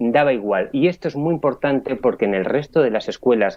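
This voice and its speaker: The voice is a normal speaking voice. Its pitch moves in an ordinary way. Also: man. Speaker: philosophy columnist. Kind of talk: radio philosophy talk.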